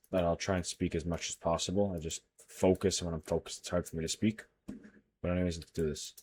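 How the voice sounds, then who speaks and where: Quietly and very fast, a man speaks at a very deep, low pitch in a monotone, flat intonation. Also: dry, close sound with no echo. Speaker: day trader. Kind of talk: screen-share trading tutorial. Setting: livestream recording. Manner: quiet while focused; casual, thinking aloud. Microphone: muffled, covering mouth.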